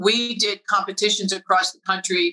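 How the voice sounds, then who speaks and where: A woman's voice, a normal speaking voice, with fairly even intonation and a dry, close sound with no echo. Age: 60s. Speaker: advocate and nonprofit founder. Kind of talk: casual interview chat.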